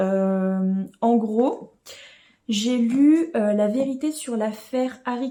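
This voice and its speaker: A woman speaks with a dark, mellow tone at a fairly high pitch, her pitch moving in an ordinary way. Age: 20s. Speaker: book vlogger. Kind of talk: casual vlog talk. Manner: hesitant with many fillers.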